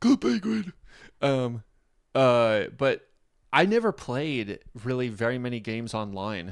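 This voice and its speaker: A man's animated, medium-pitched voice with lively intonation, a fairly slow pace and long, frequent pauses, in a very clean recording with a silent background. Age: 30s. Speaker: reaction youtuber, rapper. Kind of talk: casual reaction commentary.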